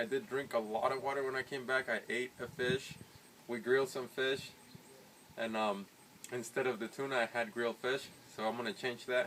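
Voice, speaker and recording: A man's medium-pitched voice at a moderate pace, fairly even in intonation, with long, frequent pauses. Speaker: fitness vlogger. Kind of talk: casual video diary. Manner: halting, searching for words.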